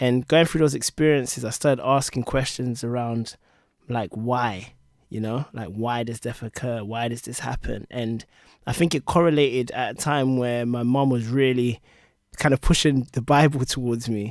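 A man speaks with a London accent at a moderate pace, his pitch medium and his intonation fairly even. The recording is very clean, with a silent background. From London, England. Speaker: product leader and author. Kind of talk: casual chat. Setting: studio.

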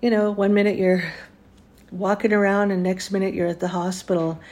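A woman with a Canadian accent has a dark, mellow tone and fairly even intonation. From Ontario, Canada. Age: 60s. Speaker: podcast host. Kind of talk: casual interview.

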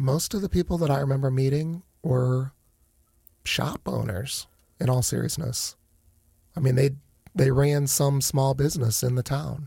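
With an American accent, a man speaks at a moderate pace in a dark, mellow, somewhat breathy voice of medium pitch, with ordinary pitch variation and long, frequent pauses. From Northeast Ohio (Akron). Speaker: hospital finance executive. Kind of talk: casual interview. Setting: studio.

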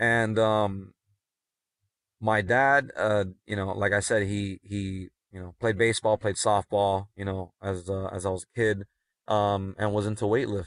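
Dry and close with no echo over a quiet background, a man speaks fairly slowly at a fairly low pitch, monotone and flat in intonation, with big swings in loudness. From Miami, Florida (Cuban American family). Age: 30s. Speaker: special-needs educator and coach. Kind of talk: casual chat. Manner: frequent fillers and self-repeats.

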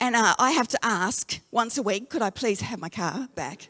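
High-pitched and bright with a sharp tone, a woman talks at a moderate pace with lively intonation in a dry, close sound with no echo. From Australia, Darwin. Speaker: pastor. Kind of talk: sermon.

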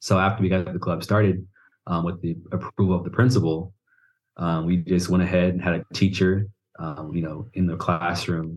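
A man speaks at a moderate pace in a very deep, low voice. His intonation is flat and monotone, over a quiet background. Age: 20s. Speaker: university student. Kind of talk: casual interview conversation.

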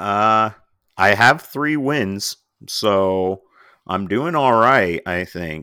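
At a very slow pace, a man with fairly low pitch speaks with lively intonation in a very clean recording with a silent background. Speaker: podcast co-host. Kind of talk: casual chat. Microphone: new microphone, clearer sound.

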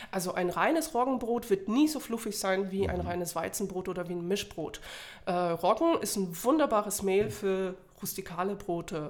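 A woman speaks with lively intonation against noticeable background noise. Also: medium pitch for a woman, moderate pace. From Poland. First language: Polish (speaking German). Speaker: bread-baking instructor. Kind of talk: interview.

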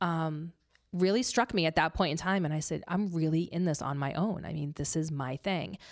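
In a normal speaking voice, a woman with an American accent speaks at a moderate pace and a fairly low pitch, on a very clean recording with a silent background. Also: ordinary pitch variation. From Massachusetts (Leominster). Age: 40s. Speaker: PR business owner. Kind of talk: casual interview. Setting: studio.

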